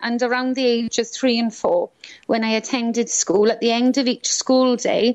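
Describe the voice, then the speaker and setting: A woman with a Welsh accent speaks at a moderate pace in a high voice, her intonation flat and monotone. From Wales (Swansea, South Wales). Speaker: author and angel healing teacher. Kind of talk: interview.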